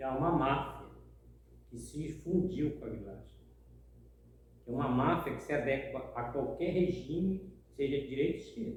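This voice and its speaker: A man speaks with ordinary pitch variation and long, frequent pauses. Noticeable background noise and audible room echo are both present. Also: fairly high pitch for a man, moderate pace. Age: 60s. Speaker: housing movement activist. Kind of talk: interview testimony.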